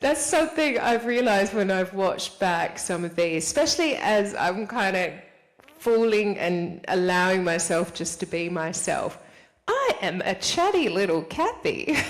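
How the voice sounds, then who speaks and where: Amid noticeable background noise, a woman talks at a fairly slow pace in a medium pitch, her tone animated and her intonation lively. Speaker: spiritual vlogger. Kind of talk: casual monologue to camera.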